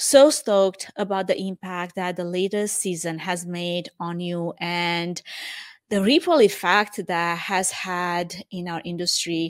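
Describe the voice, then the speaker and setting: A woman with a Romanian accent speaks at a very slow pace and a medium pitch. The recording is very clean, with a silent background. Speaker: event production podcast host. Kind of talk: solo reflective monologue.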